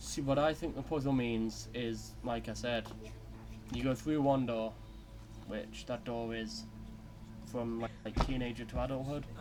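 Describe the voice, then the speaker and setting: Here a man talks at a fairly slow pace. His speech has long, frequent pauses. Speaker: gaming youtuber. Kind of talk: let's play commentary. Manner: quiet; casual, filler-heavy.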